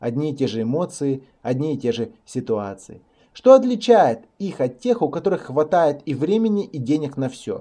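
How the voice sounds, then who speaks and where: A man with a dark, mellow tone and a fairly high pitch talks at a moderate pace, his pitch swinging very widely. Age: 20s. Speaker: motivational speaker and online course teacher. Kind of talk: recorded online course lesson. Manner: formal, scripted delivery.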